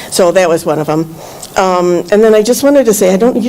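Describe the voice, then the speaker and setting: Over noticeable background noise, the voice moves at a very fast pace with lively intonation. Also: woman. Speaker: public commenter, former planning commissioner. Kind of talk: public comment at meeting. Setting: township meeting room. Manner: loud; halting, many fillers.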